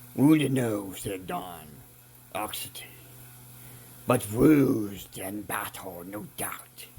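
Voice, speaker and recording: Putting on a raspy character voice, a man speaks at a very slow pace and fairly low pitch, with lively intonation, big swings in loudness, and long, frequent pauses. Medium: read story. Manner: impatient, irritable.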